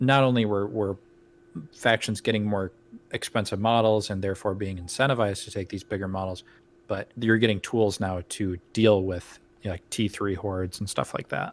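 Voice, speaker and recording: A man with a plain, everyday voice speaks at a moderate pace, his pitch fairly low and his intonation fairly even, in a very clean recording with a silent background. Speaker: podcast host. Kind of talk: casual podcast discussion.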